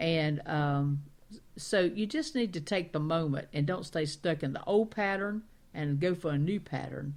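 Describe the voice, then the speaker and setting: Her pitch very deep and low, a woman with a Southern accent speaks with ordinary pitch variation. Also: fairly slow pace. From Carolinas, US South. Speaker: talk radio co-host. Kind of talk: casual chat.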